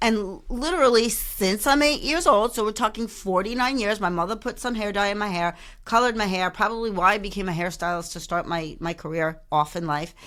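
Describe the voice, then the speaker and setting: With an ordinary speaking voice, a woman talks at a fairly quick pace with hardly any pauses, medium pitch and lively intonation, on a very clean recording with a silent background. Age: 50s. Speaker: career coach and podcast host. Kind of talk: casual podcast talk to camera, humorous. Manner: chatty, candid, humorous.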